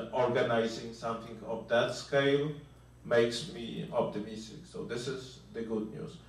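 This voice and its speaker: With a Polish accent, a man talks fairly slowly at medium pitch, with noticeable background noise and audible room echo. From Poland. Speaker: venture capitalist. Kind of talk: panel discussion. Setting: conference.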